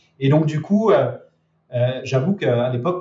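This man has a fairly high pitch and a somewhat breathy voice. His pitch variation is ordinary. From France, Lyon region. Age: 30s. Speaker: e-commerce trainer and entrepreneur. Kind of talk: interview.

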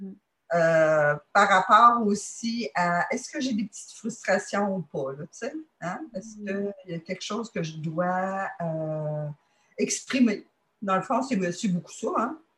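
A woman with a Quebec accent speaks at a medium pitch and a very slow pace in a bright, sharp tone. Her intonation is lively and her loudness swings widely. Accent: Québécois French. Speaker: dating site member. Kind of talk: testimony. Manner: halting.

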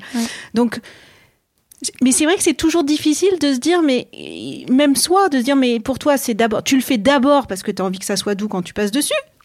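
A woman talks at a high pitch with lively intonation. Her pace is fairly quick, broken by long, frequent pauses. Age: 40s. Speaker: podcast host. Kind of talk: interview conversation. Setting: interviewees' office.

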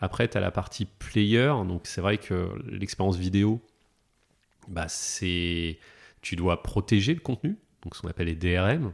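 A man speaks at a fairly slow pace in a very deep, low voice with a calm tone and ordinary pitch variation, leaving long, frequent pauses. The recording is very clean with a silent background. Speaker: technology executive. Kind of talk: casual interview.

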